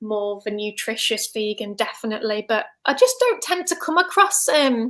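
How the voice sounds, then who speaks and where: A woman's high-pitched, bright, sharp voice at a moderate pace, with a slight Staffordshire accent. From England, Staffordshire (Stafford). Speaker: vegan health coach. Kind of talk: casual interview chat. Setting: online livestream.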